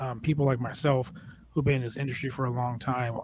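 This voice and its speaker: This man's intonation stays fairly even. There is a somewhat breathy quality to his voice. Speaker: wrestling podcast host and wrestler. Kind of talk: casual chat.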